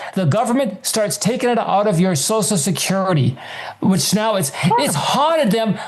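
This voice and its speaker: With very wide pitch swings and very even loudness, a high-pitched man speaks at a moderate pace amid noticeable background noise and audible room echo. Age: 70s. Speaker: author and personal finance guest. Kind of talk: interview.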